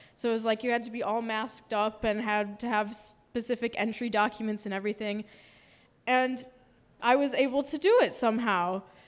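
A plain, everyday voice with an American accent speaks at a fairly quick pace with fairly even intonation. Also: woman, fairly high pitch for a woman. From US Midwest, Milwaukee, Wisconsin. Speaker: storyteller. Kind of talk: live storytelling performance.

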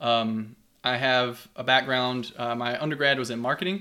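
In a very clean recording with a silent background, a man with a Kentucky accent speaks at a medium pitch in a bright, sharp tone. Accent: Kentucky Southern US. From Kentucky, US. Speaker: geography professor. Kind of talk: casual interview chat.

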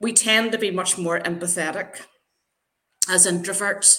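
Speaking with an Irish accent, a woman has a fairly low pitch and a bright, sharp tone. She talks at a fairly slow pace. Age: 50s. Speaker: LinkedIn brand builder. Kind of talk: casual interview.

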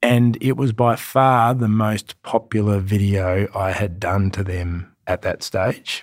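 In an Australian accent, the speaker moves very slowly with hardly any pauses and a fairly even intonation, captured dry and close with no echo on a very clean recording against a silent background. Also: man, fairly low pitch for a man. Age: 40s. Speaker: fitness trainer and podcast host. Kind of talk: motivational monologue.

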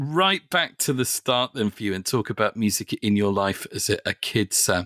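In a very clean recording with a silent background, a man with an English accent speaks at a moderate pace, the sound dry and close with no echo. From English Midlands. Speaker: podcast host. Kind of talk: interview.

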